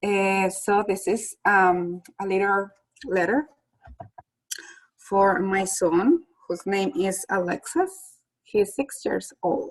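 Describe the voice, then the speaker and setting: A woman with a Spanish accent at a medium pitch, with ordinary pitch variation, a very slow pace and long, frequent pauses. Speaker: school staff member. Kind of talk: casual chat.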